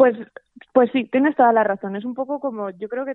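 This woman talks at a very fast pace. Her pitch varies in an ordinary way. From Spain, Zaragoza (Aragon). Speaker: journalist and podcast director. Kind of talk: casual interview chat. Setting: remote call from home. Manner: hesitant, many repetitions.

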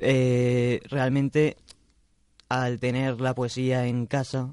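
A man's medium-pitched voice in a monotone, flat intonation at a very slow pace. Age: young. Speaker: poet. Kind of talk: interview. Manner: halting.

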